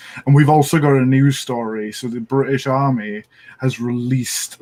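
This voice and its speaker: The speaker has a Welsh accent and moves at a moderate pace. Pitch variation is ordinary. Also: man. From Wales. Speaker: firearms and tank enthusiast guest. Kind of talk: casual chat.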